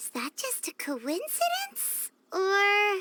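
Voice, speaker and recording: Squeaky and extremely high, the voice is a put-on character voice. It moves at a very slow pace. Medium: video game. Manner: chatty, excitable.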